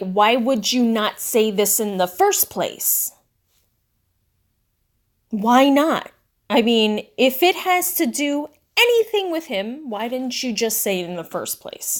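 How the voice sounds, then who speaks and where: In a loud, squeaky put-on character voice, a woman speaks at a high pitch and fairly slow pace, her pitch swinging very widely between long, frequent pauses. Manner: loud, exasperated.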